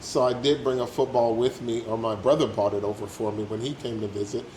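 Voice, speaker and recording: A man with an American accent and a medium pitch, talking at a fairly quick pace over noticeable background noise. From United States. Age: 60s. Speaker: retiree living abroad. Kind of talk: casual interview.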